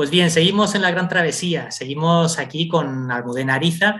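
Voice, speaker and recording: A man's fairly high voice, an ordinary speaking voice, its pitch varying in an ordinary way. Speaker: radio podcast host. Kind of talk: interview.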